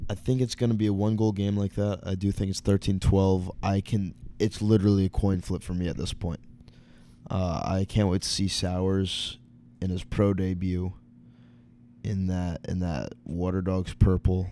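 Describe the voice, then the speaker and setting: In a very clean recording with a silent background, a man speaks at a moderate pace in a very deep, low, monotone voice with flat intonation and a dark, mellow tone. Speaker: podcast co-host. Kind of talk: casual chat. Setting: hotel room in Boston.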